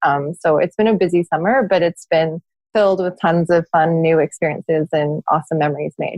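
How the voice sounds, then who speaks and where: A woman with a fairly low pitch talks at a fairly quick pace, her intonation fairly even and her loudness very even. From England until ten, then Canada. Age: 30s. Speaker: charity founder and mother. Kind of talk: podcast interview.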